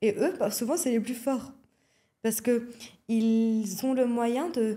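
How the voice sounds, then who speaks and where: A woman's fairly high voice in a Lebanese accent, with a dark, mellow tone, ordinary pitch variation, very even loudness and a very slow pace. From Lebanon. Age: young. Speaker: athletics coach. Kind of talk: podcast interview. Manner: frequent hesitations (euh).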